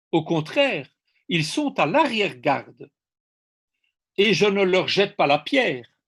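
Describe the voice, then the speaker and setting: The speaker's pitch swings very widely at a very slow pace, over a quiet background. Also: man. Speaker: ecosocialist speaker. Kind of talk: seminar talk.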